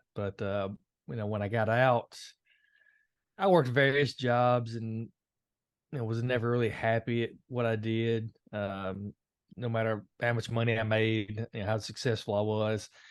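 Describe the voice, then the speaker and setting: Against a quiet background, a man speaks with a Tennessee accent. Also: dry, close sound with no echo. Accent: Southern US (Tennessee). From Tennessee, Nashville. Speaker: Marine veteran, anger management coach. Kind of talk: podcast interview. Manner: hesitant, many fillers.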